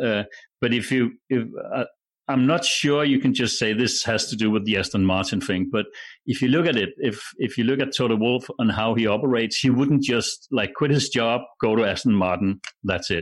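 With a Danish accent, a man speaks at medium pitch and a moderate pace, with ordinary pitch variation and very even loudness, over a quiet background. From Denmark. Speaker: broadcaster. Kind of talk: casual chat.

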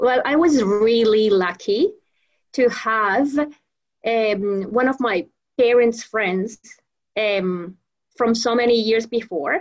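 Here a woman speaks with a Spanish accent. Her pitch is fairly high and her pace very slow. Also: ordinary pitch variation. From Venezuela. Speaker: professional trainer and association founder. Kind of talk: interview. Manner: halting, many repetitions.

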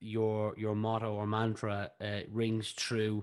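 Against a quiet background, the speaker talks with a Northside Dublin accent. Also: man. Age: 20s. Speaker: podcast host. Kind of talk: interview.

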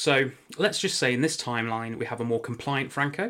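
This man has an English accent and a bright, sharp tone. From England. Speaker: podcast host. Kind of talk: casual chat.

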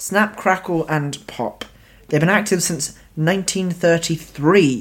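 The speaker uses a Cornish accent and a very slow pace. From Cornwall, England. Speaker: guest host. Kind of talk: casual chat.

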